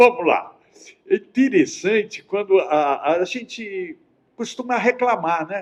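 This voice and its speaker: A man's high-pitched voice at a very slow pace. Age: 70s. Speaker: spiritist writer and speaker. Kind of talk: radio interview. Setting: live web radio studio.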